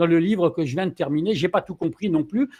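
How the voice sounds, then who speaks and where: High in pitch, a man speaks with lively intonation. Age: 60s. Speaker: live stream moderator. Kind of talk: casual live discussion wrap-up. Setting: online live stream.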